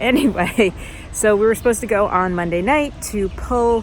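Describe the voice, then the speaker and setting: Over noticeable background noise, a woman with an American accent speaks at a medium pitch. Her pace is moderate and her pitch variation ordinary. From United States. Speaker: badminton vlogger. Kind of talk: casual vlog talk to camera. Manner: animated.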